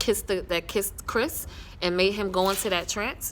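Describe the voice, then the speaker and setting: Speaking at a moderate pace, a woman with a medium pitch sounds animated, with some vocal fry. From New York. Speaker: TV series reviewer, vlogger. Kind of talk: casual show recap. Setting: outdoors. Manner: loud.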